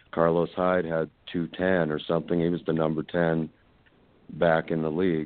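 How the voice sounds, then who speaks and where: This man's voice is very deep and low. He talks at a fairly slow pace with monotone, flat intonation. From Colorado. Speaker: fantasy football player, plumbing contractor. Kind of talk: casual interview. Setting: remote call.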